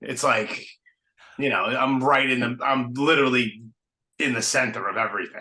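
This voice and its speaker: With a strong Brooklyn accent, a man speaks at medium pitch in a monotone, flat intonation. His delivery has long, frequent pauses. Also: moderate pace. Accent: heavy Brooklyn. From New York City (Brooklyn). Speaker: podcast host. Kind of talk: casual interview chat. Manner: casual, filler-heavy.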